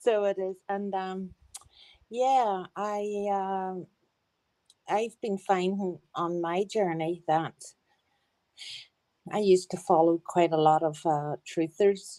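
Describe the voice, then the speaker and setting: A woman's dark, mellow voice in a strong Northern Irish accent, at a medium pitch, very slow pace and fairly even intonation, with long, frequent pauses. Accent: broad Northern Irish. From Northern Ireland. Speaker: caller. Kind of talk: testimony. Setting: group voice chat.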